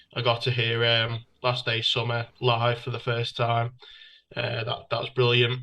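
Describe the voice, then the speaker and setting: Speaking in a northern English accent at a fairly slow pace, a man has a bright, sharp tone. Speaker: music fan. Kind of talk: casual chat. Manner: halting.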